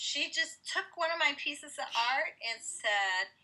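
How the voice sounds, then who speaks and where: At a very slow pace, a woman uses a raised, projected voice, high-pitched, bright and sharp, with very wide pitch swings. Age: 50s. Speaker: mixed media artist and stencil company founder; interviewee. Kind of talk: interview. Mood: reflective, personal storytelling. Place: home room. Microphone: headset.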